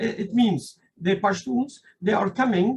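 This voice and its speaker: A man with a non-native accent talks in a high voice with ordinary pitch variation. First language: not English; speaks French generally. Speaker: invited speaker on Afghanistan. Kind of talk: political talk at meeting. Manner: halting, many fillers.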